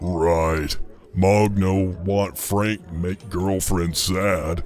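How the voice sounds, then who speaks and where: Putting on a character voice, the man talks at a very slow pace with a very deep, low pitch. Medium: actual play. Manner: broken third-person speech.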